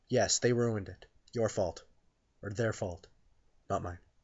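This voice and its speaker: The speaker sounds somewhat breathy, with ordinary pitch variation. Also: man. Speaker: YouTuber and metal band frontman. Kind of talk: rant. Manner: halting, self-correcting.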